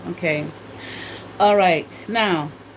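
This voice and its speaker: A woman speaks, her pitch moving in a normal way. Clearly audible background noise and audible room echo surround her. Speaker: former college teacher and spiritual talk host. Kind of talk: informal livestream lecture. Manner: halting, many fillers and repetitions.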